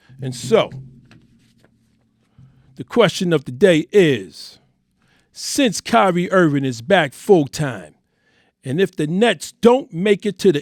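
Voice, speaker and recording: A man with a New York accent talks at a fairly slow pace, his high pitch swinging very widely. The sound is dry and close with no echo, on a very clean recording with a silent background. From Harlem, New York. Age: 50s. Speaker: sports podcast host. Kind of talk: sports opinion podcast talk.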